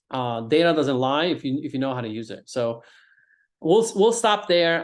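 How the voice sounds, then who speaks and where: The background is quiet. A man speaks with fairly high pitch and lively intonation. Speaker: real estate agent and investor educator. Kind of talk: webinar presentation. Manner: fast.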